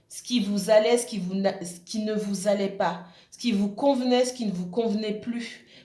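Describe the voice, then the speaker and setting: A woman with a fairly high pitch at a fairly slow pace, fairly even intonation, audible room echo and noticeable background noise. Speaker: tarot reader. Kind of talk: tarot reading monologue. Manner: halting, many fillers.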